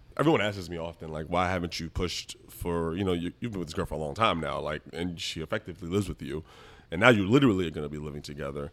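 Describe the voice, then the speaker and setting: A man with an American accent speaks at a very fast pace with a very deep, low pitch and ordinary pitch variation. His loudness swings widely on a very clean recording with a silent background. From US Northeast, the Bronx, New York City. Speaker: lawyer. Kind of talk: casual chat.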